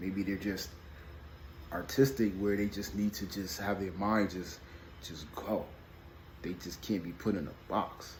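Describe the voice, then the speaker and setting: A soft-spoken, somewhat breathy voice talks at a fairly slow pace with fairly even intonation and long, frequent pauses, and the room echo is audible. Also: man, fairly low pitch for a man. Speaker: video blogger on parenting and emotions. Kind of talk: casual vlog monologue. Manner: mumbling, halting with repetitions.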